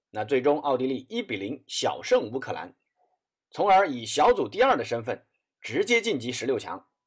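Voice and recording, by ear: The voice carries a slightly husky edge and big pitch swings. It moves at a moderate pace. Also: man, medium pitch for a man.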